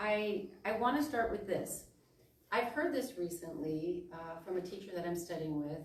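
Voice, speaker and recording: A woman's medium-pitched voice with lively intonation at a moderate pace, with audible room echo. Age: 60s. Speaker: minister. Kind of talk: sermon. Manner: halting.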